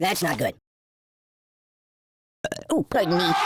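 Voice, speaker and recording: A cartoonish character voice at a middle pitch, delivered at a moderate pace. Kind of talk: cartoon comic voice acting. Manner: cheeky, jokey, exaggerated.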